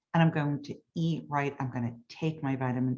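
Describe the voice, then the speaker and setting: A woman speaks at a very deep, low pitch. Her pace is moderate. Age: 60s. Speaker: hypnotist. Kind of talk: sales pitch.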